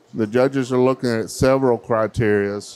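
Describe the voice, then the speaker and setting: With fairly even intonation, a man delivers his words at a fairly slow pace. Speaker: event host. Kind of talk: event emcee commentary. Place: hall. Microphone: handheld.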